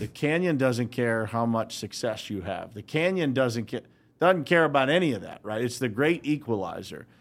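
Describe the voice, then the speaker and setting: Speaking in a plain, everyday voice with an American accent, a man at medium pitch uses lively intonation at a moderate pace. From Western Pennsylvania, Uniontown. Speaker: business founder. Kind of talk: casual interview. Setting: studio.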